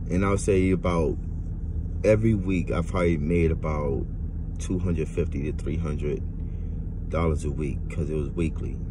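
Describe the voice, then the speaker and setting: A man's very deep, low voice at a moderate pace, with ordinary pitch variation, long and frequent pauses, noticeable background noise, and a dry sound with no echo. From Louisiana. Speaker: vlogger. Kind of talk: personal monologue to camera. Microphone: phone near.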